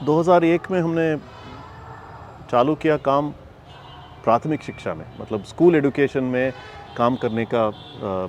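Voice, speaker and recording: A man is speaking while noticeable background noise is present. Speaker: foundation communications head. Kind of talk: interview. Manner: halting, many fillers; mixes English into Hindi.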